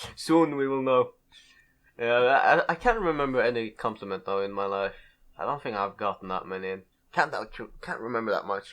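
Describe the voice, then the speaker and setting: Against a quiet background, a man of medium pitch speaks at a moderate pace with lively intonation and long, frequent pauses. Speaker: podcast host. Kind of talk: casual chat. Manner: loud.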